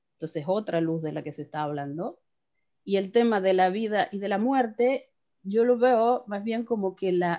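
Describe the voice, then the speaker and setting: The voice is a woman's, dark and mellow in tone. She talks fairly slowly. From Argentina, Córdoba. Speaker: class participant. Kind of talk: casual discussion. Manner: halting.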